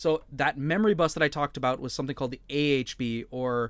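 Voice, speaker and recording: A fairly high-pitched man's voice with an American accent and ordinary pitch variation. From United States. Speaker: podcast co-host, embedded engineer. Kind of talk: casual chat. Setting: video call.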